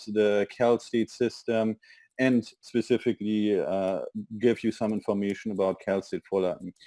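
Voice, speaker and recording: Speaking at a moderate pace with a German accent, a man uses a medium pitch, a dark, mellow tone, and monotone, flat intonation. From Germany. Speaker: university international admissions representative. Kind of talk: webinar presentation.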